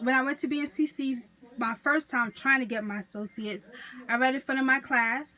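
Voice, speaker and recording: Projecting a raised voice, a woman speaks with a New York accent at a moderate pace. Her pitch is high, with ordinary variation. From New York City (Queens). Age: 20s. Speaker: college student. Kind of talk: class speech assignment. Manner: casual, self-correcting.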